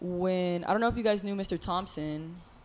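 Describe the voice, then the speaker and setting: Ordinary pitch variation at a fairly slow pace. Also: woman. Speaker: podcast co-host. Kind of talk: casual chat. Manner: gets loud when upset.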